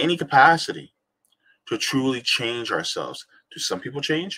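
An American man speaks with an animated tone. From South Jersey, US; New Jersey. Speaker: podcast host reading a book aloud. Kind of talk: reading aloud; casual commentary. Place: home room. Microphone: webcam.

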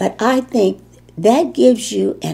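A very slow, somewhat breathy delivery with a dark, mellow tone in a Chicago accent. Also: woman. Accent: Chicago American English. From Chicago, US Midwest. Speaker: war veteran. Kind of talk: interview. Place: home room.

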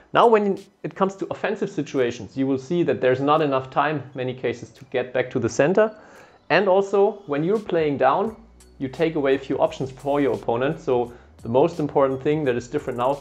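A man at a fairly quick pace, with faint music in the background. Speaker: badminton coach. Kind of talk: tutorial. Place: studio. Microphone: lapel.

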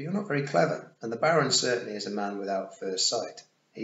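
The voice reads in a natural way.

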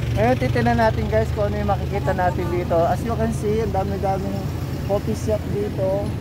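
Loud background noise fills this dry recording with no echo, where the speech moves at a fairly quick pace. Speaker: vlogger. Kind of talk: casual vlog chat. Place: street. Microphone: phone near.

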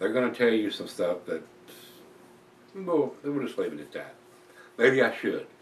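Amid light background noise and audible room echo, a man speaks at a fairly quick pace. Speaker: beer reviewer. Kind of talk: casual vlog chat. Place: home room. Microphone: camera far.

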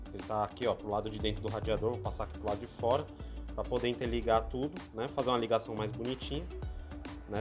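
A man talks over clear music in the background. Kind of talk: tutorial. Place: garage. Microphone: phone near.

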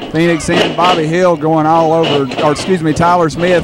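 Noticeable background noise runs behind a man's voice. His pitch is high and his tone animated. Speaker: wrestling commentator and ring announcer. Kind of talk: live wrestling commentary. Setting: wrestling arena, live event. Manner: animated, fast play-by-play calling of moves; good-natured banter with a heel co-commentator.

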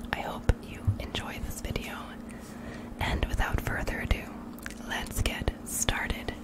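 A soft-spoken woman whispering at a fairly slow pace against loud background noise. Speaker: bedtime reader. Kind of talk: soft-spoken ASMR reading. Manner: soft close-mic whisper. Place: home room. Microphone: studio mic.

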